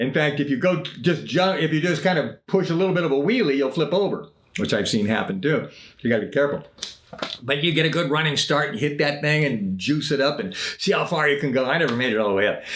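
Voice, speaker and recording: Over noticeable background noise and audible room echo, a man talks at a fairly quick pace in a fairly high pitch. His intonation is lively while his loudness stays very even. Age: 70s. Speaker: singer-songwriter and podcaster. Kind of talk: casual storytelling monologue. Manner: halting, with frequent self-corrections.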